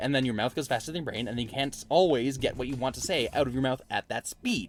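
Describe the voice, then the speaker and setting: This man speaks at a very fast pace. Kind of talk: casual, conversational. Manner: fast talker.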